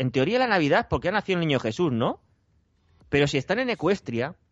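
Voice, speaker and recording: A man's pitch rises and falls very widely as he talks very fast. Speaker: podcast co-host. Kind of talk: casual chat.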